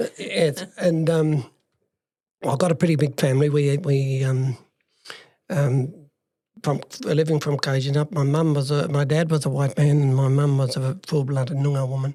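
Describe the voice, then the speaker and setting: In an Australian accent, a man speaks with a dark, mellow tone, somewhat breathy, at a fairly high pitch, his intonation monotone and flat and his loudness very even. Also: moderate pace. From regional Western Australia. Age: 60s. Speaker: life story guest. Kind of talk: interview storytelling. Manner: halting, many fillers.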